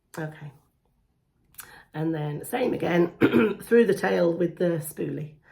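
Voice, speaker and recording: A woman with a British accent speaks at a fairly low pitch and fairly slow pace, pausing long and often, her pitch variation ordinary. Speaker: beauty vlogger. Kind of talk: makeup tutorial. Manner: casual, chatty.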